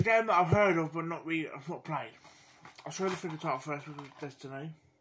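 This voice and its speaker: A man with a British accent talks at a very fast pace. His pitch is fairly high and his loudness swings widely. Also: ordinary pitch variation. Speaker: gaming YouTuber. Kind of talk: casual video commentary. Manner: halting, many fillers; mumbling.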